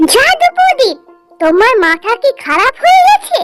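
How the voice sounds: Faint music plays behind a woman doing a squeaky, cartoonish character voice at an extremely high pitch, with lively intonation at a moderate pace.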